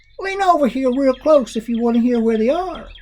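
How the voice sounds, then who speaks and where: A put-on character voice in an Ozark accent moves along at a fairly quick pace. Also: man, extremely high pitch for a man. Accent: rural Ozark. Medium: read story. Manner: dry, unbothered.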